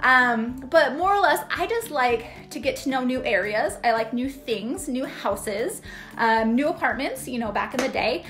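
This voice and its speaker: High female voice with hardly any pauses, faint music in the background. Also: moderate pace. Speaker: real estate agent vlogger. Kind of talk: casual vlog chat. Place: home room. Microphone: phone near.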